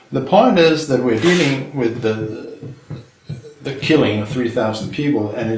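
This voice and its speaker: Over noticeable background noise and audible room echo, a man speaks at a fairly slow pace. His pitch is medium, with ordinary variation. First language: Danish. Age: 60s. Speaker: retired chemistry professor. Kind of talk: interview. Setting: filmed interview.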